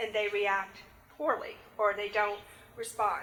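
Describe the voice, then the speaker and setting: Audible room echo around a woman's fairly high voice, delivered fairly slowly. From New England. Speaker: music therapy professor. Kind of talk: lecture.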